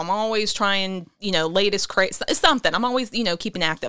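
In a Pittsburgh accent, a woman with a fairly high pitch and a bright, sharp tone talks at a fairly quick pace with lively intonation. The recording is very clean, with a silent background. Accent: Pittsburgh (western Pennsylvania). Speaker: author and actress. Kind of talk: casual chat.

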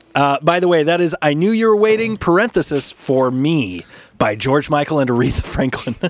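Enthusiastic and upbeat, a man speaks fairly quickly at a fairly high pitch with very wide pitch swings and very even loudness, while background noise is noticeable. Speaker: podcast host and musician. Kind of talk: casual podcast banter among bandmates. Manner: enthusiastic, chatty, upbeat.

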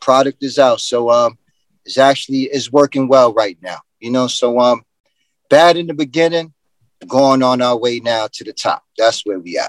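Heard in a dry, close sound with no echo, a man with a New York accent shows ordinary pitch variation and big swings in loudness. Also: medium pitch for a man, moderate pace. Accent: New York City. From Bronx, New York. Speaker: entrepreneur. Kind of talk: casual chat.

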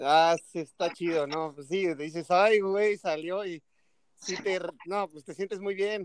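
A man with a high pitch speaks with fairly even intonation but big swings in loudness. The sound is dry and close, with no echo. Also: fairly slow pace. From State of Mexico. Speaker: emergency physician. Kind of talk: casual chat.

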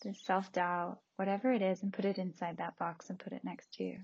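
Somewhat breathy, a woman talks in a soothing, calm tone with ordinary pitch variation. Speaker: meditation podcaster and guide. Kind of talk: guided meditation visualization. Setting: home recording, possible background noise. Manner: slow, soothing, calm, paced counting; gentle, soft-spoken.

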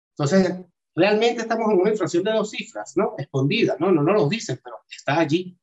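A man's high voice, fairly quick in pace and lively in intonation. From Venezuela, Caracas. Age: 40s. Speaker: crypto analyst and videographer. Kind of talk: interview.

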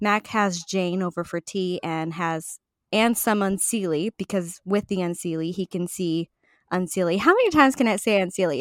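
A woman with an unremarkable speaking voice, medium pitch and ordinary pitch variation at a fairly quick pace, in dry, close sound with no echo on a very clean recording with a silent background. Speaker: book club co-host. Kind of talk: casual chat. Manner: casual, joking.

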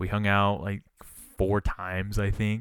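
Over a silent background in a very clean recording, a man talks in a fairly low pitch. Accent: Western US. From Utah, US. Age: 20s. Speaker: podcast host. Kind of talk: casual chat.

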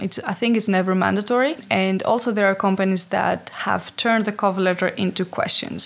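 A woman's medium-pitched voice with a Greek accent, ordinary pitch variation, a moderate pace, and noticeable background noise. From Greece, Athens. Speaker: HR specialist. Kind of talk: interview.

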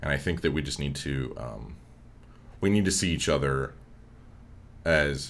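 A man speaks at a fairly slow pace with long, frequent pauses, in a very deep, low pitch with vocal fry. His pitch variation is ordinary, and audible room echo surrounds the voice. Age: 20s. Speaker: graduate student in dramatic writing. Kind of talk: casual chat.

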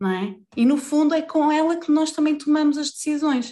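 The speaker is a woman with a European Portuguese accent. The background is quiet. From Portugal, Vila Real. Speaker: life coach. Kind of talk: casual interview chat.

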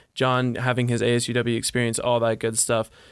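In an American accent, a man with an ordinary speaking voice talks at a moderate pace and medium pitch, on a very clean recording with a silent background. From Montana. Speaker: college student podcast host. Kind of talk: casual chat.

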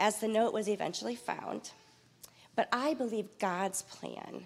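A woman speaks at a medium pitch and a fairly slow pace. Vocal fry runs through her voice. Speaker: church mentor. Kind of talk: personal tribute. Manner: reading prepared text.

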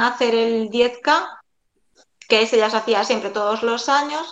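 Audible room echo surrounds a woman speaking fairly slowly in a fairly high voice with a Galician accent. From Galicia, A Coruña. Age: 40s. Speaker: amateur runner. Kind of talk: interview.

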